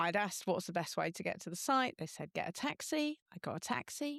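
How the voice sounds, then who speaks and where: A woman's lively, fairly quick speech in a very clean recording with a silent background and a dry, close sound with no echo. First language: not French; English speaker. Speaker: software engineering director and open-source contributor. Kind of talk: podcast interview.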